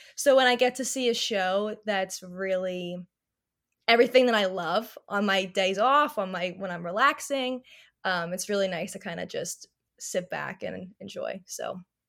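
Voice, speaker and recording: A woman with an American accent, medium pitch, ordinary pitch variation, moderate pace and big swings in loudness, on a very clean recording with a silent background. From US Northeast, New Jersey. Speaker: magazine editor. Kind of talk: casual chat. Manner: animated.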